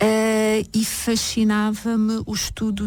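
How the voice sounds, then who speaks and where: Speaking with a European Portuguese accent, a woman uses a medium pitch. Noticeable background noise runs through the clip. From Portugal, Caldas da Rainha. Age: 40s. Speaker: therapist. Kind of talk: radio interview.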